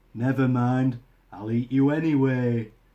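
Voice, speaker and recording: Bellowing in a gruff, put-on character voice, a man talks at medium pitch and a moderate pace. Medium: read story. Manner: gruff, roaring.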